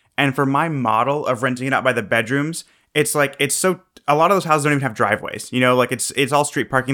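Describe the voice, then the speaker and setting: Very fast speech with a bright, sharp tone comes through on a very clean recording with a silent background. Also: man. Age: 20s. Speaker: real estate investor and entrepreneur. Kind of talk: interview.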